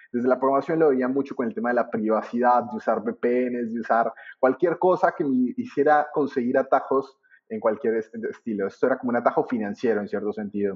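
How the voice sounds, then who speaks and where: Man at medium pitch with a Colombian accent, lively intonation and a fairly quick pace. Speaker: trading teacher. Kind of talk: interview. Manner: halting.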